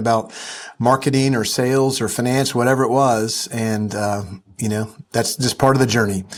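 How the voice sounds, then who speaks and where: This man speaks at a fairly quick pace with a Southern US accent. His medium pitch stays in a monotone, flat intonation. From US South. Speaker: entrepreneur and investor. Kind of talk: interview. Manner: casual, with frequent fillers.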